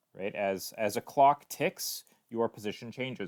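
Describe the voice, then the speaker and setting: A man's medium-pitched voice at a moderate pace, dry and close with no echo, on a very clean recording with a silent background. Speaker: teacher. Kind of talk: recorded lesson. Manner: halting, many fillers and repetitions.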